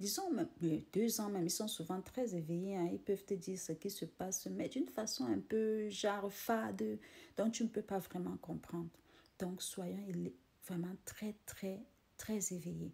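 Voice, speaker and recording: A woman speaks at a fairly slow pace. She has a non-native accent. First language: not French (speaking French). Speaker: motivational vlogger. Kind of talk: casual motivational monologue. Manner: halting, repeating words.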